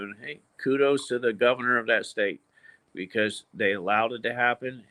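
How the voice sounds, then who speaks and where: This man has a normal speaking voice at medium pitch and talks at a moderate pace. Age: 60s. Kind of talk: casual chat.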